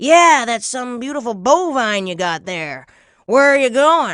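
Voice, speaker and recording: A female-sounding voice puts on a character voice with a high pitch. She goes at a fairly slow pace against a quiet background. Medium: read story. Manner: folksy, salesy.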